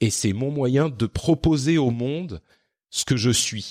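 With lively intonation at a medium pitch, a man speaks in a very clean recording with a silent background, the sound dry and close with no echo. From Lebanon and France (moved around). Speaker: podcaster. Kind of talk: interview conversation. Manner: hesitant with fillers.

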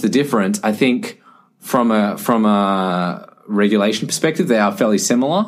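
Speaking in a plain, everyday voice, a man keeps a medium pitch and a moderate pace with lively intonation. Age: 20s. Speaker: medtech startup founder. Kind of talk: podcast interview.

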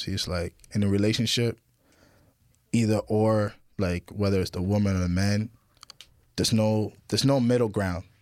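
A man speaks at a moderate pace, his fairly low voice keeping a fairly even intonation. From Ottawa, Canada; Haitian parents. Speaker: rapper. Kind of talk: casual interview chat.

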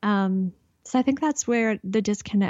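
A woman speaks at a medium pitch with a Canadian accent. Her pitch varies in an ordinary way. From Canada. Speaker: intuitive guide and clairvoyant. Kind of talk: casual interview chat.

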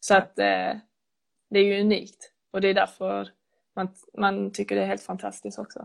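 Long, frequent pauses break up her speech. The woman otherwise keeps a moderate pace. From Skåne, Sweden. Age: 20s. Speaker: footballer. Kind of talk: casual interview.

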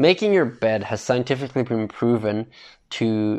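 Against a quiet background, a man with a normal speaking voice talks at a fairly slow pace and medium pitch. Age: 20s. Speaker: podcast host. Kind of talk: casual solo monologue.

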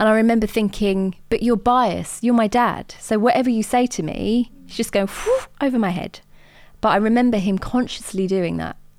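Over a silent background, the recording is very clean. A woman with a southern English accent speaks at a moderate pace in a fairly high pitch with ordinary pitch variation. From southern England, Watford in Hertfordshire. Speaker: entrepreneur and diversity consultant. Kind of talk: interview.

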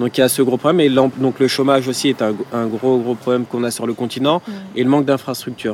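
Noticeable background noise surrounds a man talking very fast at a medium pitch. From Paris suburbs, France (Villepinte, Seine-Saint-Denis). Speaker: entrepreneur. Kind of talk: interview. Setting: outdoor terrace.

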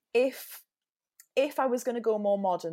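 A woman speaks with a Geordie accent and ordinary pitch variation. The recording is very clean, with a silent background. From Newcastle, northern England. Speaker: musical theatre performer. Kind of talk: casual podcast interview.

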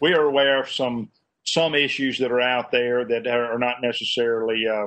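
A man with a Southern US accent, medium pitch and fairly quick pace. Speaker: state politician. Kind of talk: press forum remarks. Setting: video call.

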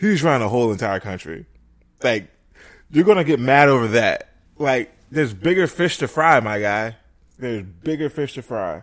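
A man speaks at a moderate pace in a medium pitch, with a plain, everyday voice and lively intonation. The recording is very clean, with a silent background. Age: 30s. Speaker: podcast co-host. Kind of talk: casual chat.

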